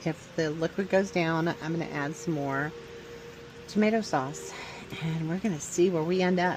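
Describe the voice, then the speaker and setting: With music in the background, a woman speaks at a moderate pace and a fairly low pitch. Her pitch variation is ordinary, and her pauses are long and frequent. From Louisiana. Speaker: home cook vlogger. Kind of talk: cooking tutorial. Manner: casual, hesitant.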